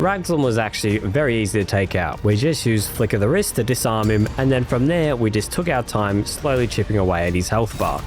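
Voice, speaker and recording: A man at a medium pitch talks fairly quickly with lively intonation and hardly any pauses while music plays in the background. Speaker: gaming YouTuber. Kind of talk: game commentary voiceover.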